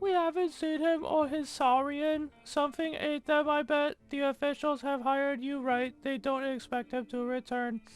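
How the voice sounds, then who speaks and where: A woman's put-on character voice, high-pitched, fairly even in intonation and at a moderate pace. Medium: game stream. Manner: blunt, matter-of-fact.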